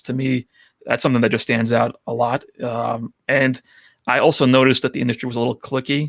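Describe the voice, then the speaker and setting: A man with a strong New York accent at medium pitch, fairly quick pace, in a dry, close sound with no echo. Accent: thick New York. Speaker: photo booth rental business owner. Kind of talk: podcast interview.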